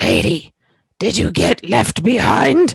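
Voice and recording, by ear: A put-on character voice, raspy and middle-pitched, at a fairly slow pace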